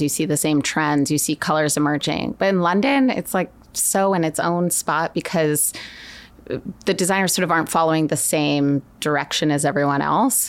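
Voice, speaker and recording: A woman with an American accent, fairly low in pitch, with ordinary pitch variation at a moderate pace, a plain, everyday voice. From Connecticut, then Florence, Italy. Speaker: fashion director at a retailer. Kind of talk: casual interview.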